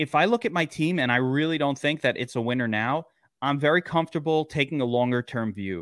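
A man with an American accent talks at a fairly quick pace and fairly high pitch, with lively intonation. It is a plain, everyday voice. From Brooklyn, New York. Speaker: fantasy football analyst. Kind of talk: casual chat.

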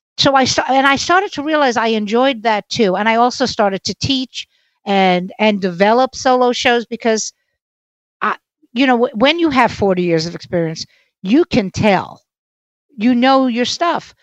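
In a New York accent, a woman with a fairly high pitch speaks at a moderate pace with lively intonation. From Brooklyn, New York. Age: 60s. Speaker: stand-up comedian. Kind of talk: casual interview.

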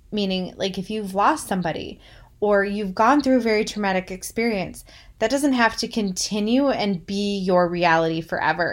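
A woman speaks in an unremarkable speaking voice at a medium pitch, with ordinary pitch variation and a moderate pace. The recording is very clean, with a silent background. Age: 30s. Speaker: podcast host. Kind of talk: monologue on healing.

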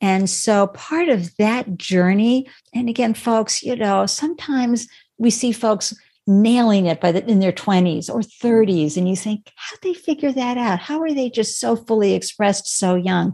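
With lively intonation and a moderate pace, a woman speaks at a fairly high pitch in a dark, mellow tone that is somewhat breathy. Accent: American. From New England, Boston area. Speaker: startup founder and live stream host. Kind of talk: interview. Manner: animated.

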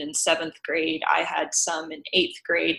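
In an American accent, a woman with a fairly low pitch and a bright, sharp tone speaks at a fairly slow pace. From US South, Tennessee. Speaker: sex education app founder. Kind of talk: interview.

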